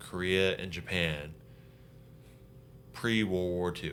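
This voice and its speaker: Amid audible room echo, a man with a very deep, low pitch and a bright, sharp tone speaks at a very slow pace with fairly even intonation. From Hawaii. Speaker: Marine veteran, operations chief. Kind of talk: casual interview chat.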